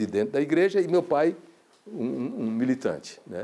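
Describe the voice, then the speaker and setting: A man's fairly high voice with a dark, mellow tone, at a moderate pace. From Paraíba, Brazilian Northeast. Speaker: filmmaker. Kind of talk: interview testimony. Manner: halting, many repetitions.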